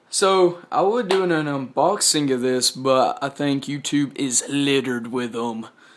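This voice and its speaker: In a Southern US accent, a man with a fairly high pitch talks at a fairly slow pace with ordinary pitch variation. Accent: Southern US rural. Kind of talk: casual gadget review to camera. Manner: casual, rambling.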